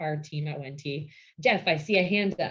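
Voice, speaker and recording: A woman's unremarkable speaking voice with an American accent, moderate in pace and fairly even in intonation. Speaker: vineyard operations director. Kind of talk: lecture.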